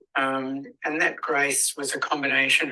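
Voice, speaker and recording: A fairly slow pace in an Australian accent. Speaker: spoken word artist and performer. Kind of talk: interview answer. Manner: hesitant, reflective.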